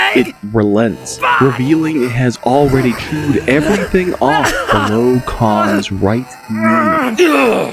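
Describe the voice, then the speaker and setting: Music plays in the background as the speaker talks at a very slow pace. The intonation is lively, while the loudness stays very even. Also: man, medium pitch for a man. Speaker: audiobook narrator. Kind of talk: audiobook narration.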